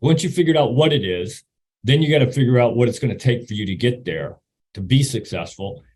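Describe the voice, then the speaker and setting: With lively intonation and a somewhat breathy voice, a man speaks very fast. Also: medium pitch for a man. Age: 60s. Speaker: retired army officer and motivational speaker. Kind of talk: presentation talk. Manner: halting, repeats words.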